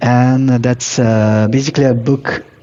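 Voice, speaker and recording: A man's medium-pitched voice with a non-native accent, fairly slow and flat in monotone, over noticeable background noise. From Morocco. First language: not English. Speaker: professional coach. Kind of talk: casual interview chat. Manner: hesitant, many fillers.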